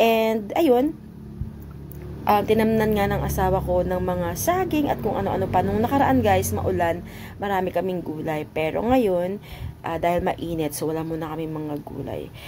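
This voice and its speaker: Her delivery comes at a moderate speed. The room adds clear echo, and there is noticeable noise behind this woman. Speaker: vlogger. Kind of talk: casual voice-over narration.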